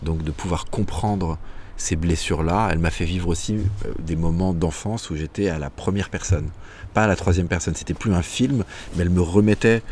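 A man talks with a very deep, low pitch. His pitch variation is ordinary. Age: 40s. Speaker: former lawyer turned author on happiness. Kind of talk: casual interview. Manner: hesitant, many fillers.

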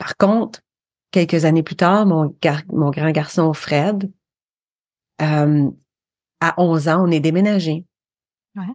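With a slight Quebec accent, a woman speaks very slowly at a fairly low pitch with fairly even intonation and long, frequent pauses. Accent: slight North American (Québécois) French. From Quebec, Eastern Townships (Windsor, Sherbrooke). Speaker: podcaster. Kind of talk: interview.

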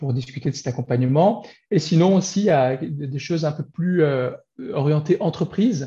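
Speaking at a moderate pace, a man has a fairly high pitch, ordinary pitch variation, a somewhat breathy sound and a dark, mellow tone. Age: 40s. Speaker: business coach. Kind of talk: interview. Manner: halting.

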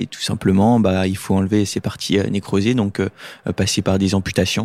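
Monotone and flat, a man's fairly low voice moves at a moderate pace in a dry, close sound with no echo. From Lorraine, France. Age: 20s. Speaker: paralympic swimmer. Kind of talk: casual interview. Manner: hesitant, many fillers.

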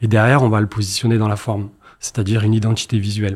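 With a somewhat breathy, medium-pitched voice, a man talks at a very fast pace. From Marseille, southern France. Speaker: entrepreneur, agency founder. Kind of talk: interview.

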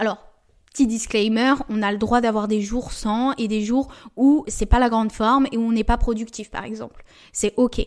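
A woman talks at a moderate pace in a fairly high, monotone, flat voice on a very clean recording with a silent background. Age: 20s. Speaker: podcast host and entrepreneur. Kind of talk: casual monologue. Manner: chatty.

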